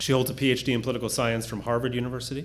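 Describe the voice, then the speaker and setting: Over audible room echo, a man talks very fast at medium pitch. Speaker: professor introducing panelists. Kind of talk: formal speaker introductions, reading bios.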